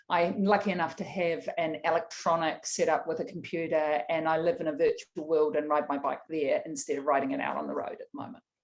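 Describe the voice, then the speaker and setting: A woman with a New Zealand accent speaks fairly quickly, with hardly any pauses. Her pitch is fairly low and varies in an ordinary way. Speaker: tech executive, panelist. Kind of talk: panel discussion. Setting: online video event.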